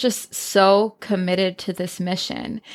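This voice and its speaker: Fairly slow and with fairly even intonation, a woman talks. She has a normal speaking voice. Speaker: podcast host. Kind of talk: podcast intro and interview.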